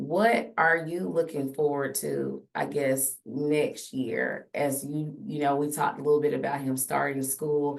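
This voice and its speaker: With a very deep, low voice, a woman speaks at a fairly slow pace with hardly any pauses and ordinary pitch variation. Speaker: podcast host; teacher. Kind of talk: casual chat. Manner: loud.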